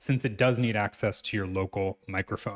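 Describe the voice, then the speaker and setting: The background is quiet. A man talks. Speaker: programming instructor. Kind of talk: tutorial.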